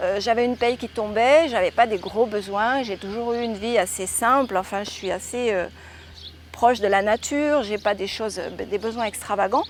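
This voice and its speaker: A woman's fairly high pitch, ordinary pitch variation and moderate pace. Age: 60s. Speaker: former airline pilot, yoga teacher and author. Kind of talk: testimony. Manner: hesitant, many fillers.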